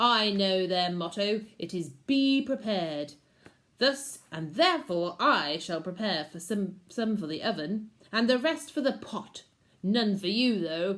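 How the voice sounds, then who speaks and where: A female-sounding voice growls through a gruff, put-on character voice. The pitch is medium for a woman and the pace fairly slow. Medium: read story. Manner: gruff, bullying, growly.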